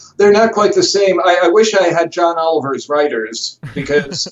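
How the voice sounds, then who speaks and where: Noticeable background noise can be heard. A man talks at a moderate pace. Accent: American. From US, Chicago. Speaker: journalist and TV presenter. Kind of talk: interview. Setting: remote call from home office.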